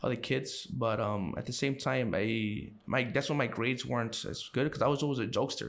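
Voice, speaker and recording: With a Chicago accent, a man speaks with vocal fry and ordinary pitch variation. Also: medium pitch for a man. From Chicago, Brighton Park. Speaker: podcast guest. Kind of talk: casual interview. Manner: halting, many fillers.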